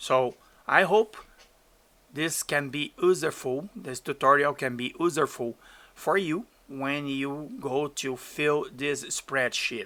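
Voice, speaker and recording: Speaking very slowly with a Portuguese accent, a man has a bright, sharp tone and ordinary pitch variation, recorded very cleanly against a silent background. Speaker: DJ and streamer. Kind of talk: tutorial. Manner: halting.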